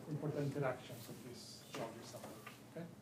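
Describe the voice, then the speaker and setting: A man's somewhat breathy, fairly high-pitched voice at a moderate pace, with audible room echo. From Chile. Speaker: pharmacology professor. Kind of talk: lecture. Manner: halting, many fillers.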